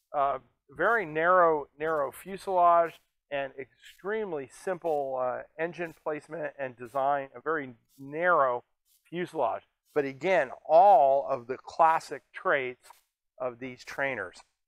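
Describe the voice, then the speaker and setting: A man speaks at a fairly slow pace and a fairly high pitch. His pitch variation is ordinary, and the sound is dry with no echo. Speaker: air museum executive and video host. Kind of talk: casual educational video presentation. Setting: on camera at an air museum. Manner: animated, jokey. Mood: jovial, relaxed. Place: hall.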